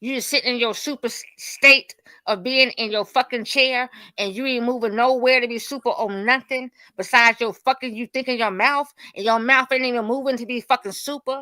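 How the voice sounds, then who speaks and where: The recording is very clean, with a silent background and a dry, close sound with no echo. A woman speaks at a fairly quick pace in a high pitch, her tone bright and sharp and her intonation fairly even. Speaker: debate panelist. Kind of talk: heated debate. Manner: loud, profane.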